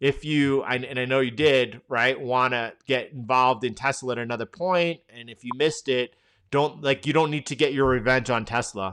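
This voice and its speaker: A man with a New York accent speaks at medium pitch and a moderate pace, with fairly even intonation and hardly any pauses. His loudness swings widely against a quiet background. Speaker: trading educator, live stream host. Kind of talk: live market analysis stream. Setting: live stream. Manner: casual, conversational with frequent restarts.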